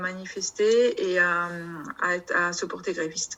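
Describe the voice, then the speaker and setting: A woman speaks with a southern French accent and a fairly even intonation. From southern France, Perpignan area. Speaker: customs officer and union representative. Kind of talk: union video meeting discussion. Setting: video call. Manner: halting, many hesitations.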